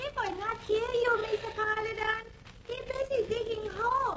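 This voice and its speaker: A woman's put-on character voice, extremely high in pitch, with monotone, flat intonation at a moderate pace and light background noise. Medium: old radio play. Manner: broken English, dropped articles.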